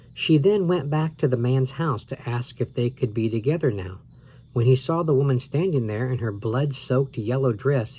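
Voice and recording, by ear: A person reads aloud, using a natural voice.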